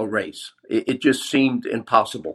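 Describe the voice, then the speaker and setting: A man with a normal speaking voice and medium pitch talks at a fairly slow pace. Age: 60s. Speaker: retired police officer. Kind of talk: recorded voicemail message.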